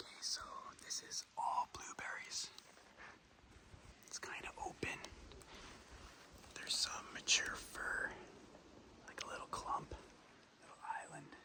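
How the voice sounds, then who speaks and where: A fairly slow whisper, broken by long, frequent pauses, over noticeable background noise. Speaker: hunting vlogger. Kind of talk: outdoor vlog narration. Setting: outdoors in the woods. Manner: whispering; hesitant, many fillers.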